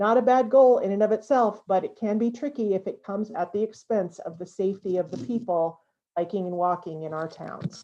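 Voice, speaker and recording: At a fairly quick pace, a woman talks in a medium pitch with ordinary pitch variation and a dark, mellow tone. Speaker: cycling advocacy spokesperson. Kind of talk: advocacy video message. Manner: fast.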